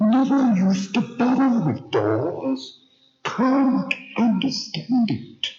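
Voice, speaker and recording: This man adopts a put-on character voice. It sits at an extremely high pitch and moves at a very slow pace. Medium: read story. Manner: fussy, dithering.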